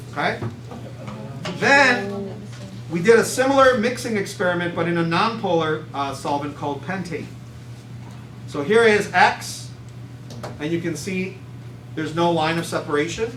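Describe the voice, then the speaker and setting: Through noticeable background noise and audible room echo, a man with a high pitch speaks at a moderate pace, using very wide pitch swings and long, frequent pauses. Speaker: chemistry teacher. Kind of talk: classroom lecture. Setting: classroom with students.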